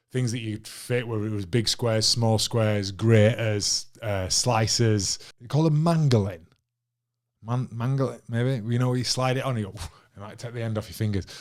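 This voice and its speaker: A man with a normal speaking voice, medium pitch, fairly even intonation and moderate pace, on a very clean recording with a silent background. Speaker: former professional rugby league player and coach. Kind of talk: casual unscripted podcast talk to camera. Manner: relaxed, conversational, with frequent fillers.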